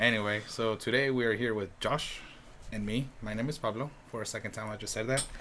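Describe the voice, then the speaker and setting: Speaking with a Spanish accent, a man has a medium pitch and a bright, sharp tone. His pace is fairly quick and his intonation fairly even. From Mexico. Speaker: podcast host. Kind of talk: casual chat. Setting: filmed on camera indoors. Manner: halting, many fillers.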